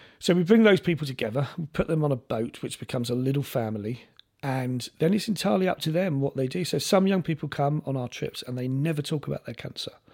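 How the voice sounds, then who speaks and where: With a London accent, a man rattles along at a very fast pace and fairly high pitch, with lively intonation and hardly any pauses. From South London. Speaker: sailing charity chief executive. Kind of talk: casual chat.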